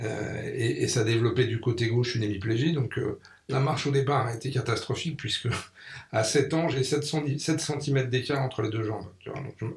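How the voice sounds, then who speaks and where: Speaking at a fairly quick pace, the man sounds somewhat breathy, and his intonation stays fairly even. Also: medium pitch for a man. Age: 60s. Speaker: magazine publisher and NGO founder. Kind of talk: radio interview. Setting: radio studio.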